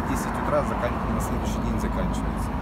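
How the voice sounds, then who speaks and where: Against loud background noise, a man's voice comes through dry, with no echo. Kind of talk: interview answer. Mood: calm, modest, reflective. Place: street.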